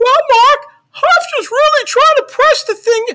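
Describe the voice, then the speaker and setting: Using a put-on character voice in falsetto, a man speaks at an extremely high pitch and a moderate pace. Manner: comedic.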